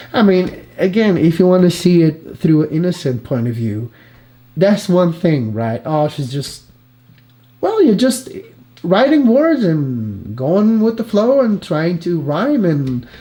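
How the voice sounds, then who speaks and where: A man's voice, high in pitch, with very wide pitch swings and a non-native accent. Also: fairly slow pace. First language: not English. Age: 30s. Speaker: reaction youtuber. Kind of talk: live reaction commentary. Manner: halting.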